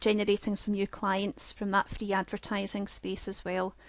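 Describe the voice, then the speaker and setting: Speaking at a moderate pace with a Scottish accent, a woman at medium pitch is captured in a dry, close sound with no echo against a quiet background. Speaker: software product trainer. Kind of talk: webinar presentation. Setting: online webinar with screen share.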